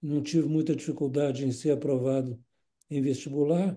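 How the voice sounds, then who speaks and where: At a moderate pace, a man with a fairly high pitch and a dark, mellow tone speaks in a flat monotone. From Brazil, Minas Gerais (Belo Horizonte). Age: 80s+. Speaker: retired nephrologist. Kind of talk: interview. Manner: halting, repeats words.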